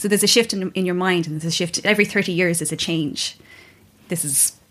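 On a very clean recording with a silent background, a woman with an Irish accent talks at a moderate pace. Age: 30s. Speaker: yoga teacher. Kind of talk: casual chat.

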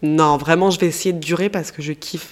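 Animated in tone, a woman speaks with a fairly low pitch. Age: 30s. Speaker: podcaster. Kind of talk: casual monologue.

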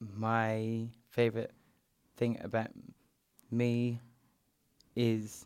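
Putting on a robotic character voice, a man speaks at a medium pitch, very slowly and in a flat monotone, with long, frequent pauses. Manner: robotic, monotone.

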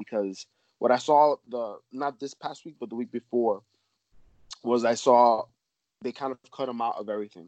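A man with a normal speaking voice talks at medium pitch and fairly even intonation, the sound dry and close with no echo. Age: 30s. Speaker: podcast co-host. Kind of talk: casual interview. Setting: phone or video call.

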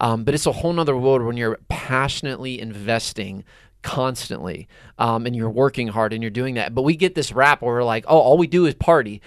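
Speaking fairly quickly, a man with an American accent uses a normal speaking voice at medium pitch. His pitch varies in an ordinary way, and the recording is very clean with a silent background. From Pittsburgh, Pennsylvania. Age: 30s. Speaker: youth nonprofit leader. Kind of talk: casual chat.

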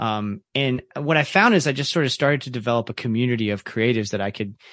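Against a quiet background, a man with an ordinary speaking voice and an American accent talks at a fairly quick pace, his medium pitch showing ordinary variation. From Central Florida (Ocala), Kentucky family. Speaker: teacher, podcaster and music journalist. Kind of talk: casual interview conversation.

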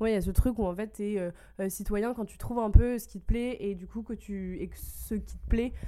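At a moderate pace, a woman speaks at medium pitch. Her tone is dark and mellow. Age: 20s. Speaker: advocacy officer. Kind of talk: casual chat.

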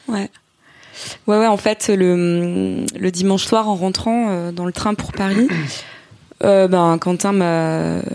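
A woman at a medium pitch speaks at a very slow pace with fairly even intonation. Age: 30s. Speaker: entrepreneur, former journalist. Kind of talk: casual chat.

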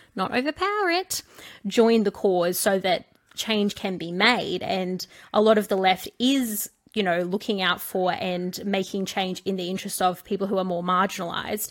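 With an Australian accent, a woman speaks at a medium pitch with fairly even intonation. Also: moderate pace. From small-town Australia. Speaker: podcast co-host. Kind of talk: casual chat.

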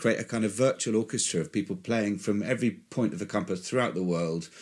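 Talking at a very fast pace with hardly any pauses and very wide pitch swings, a man is captured in a very clean recording with a silent background. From West Country, England. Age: old. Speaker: orchestra conductor. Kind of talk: interview.

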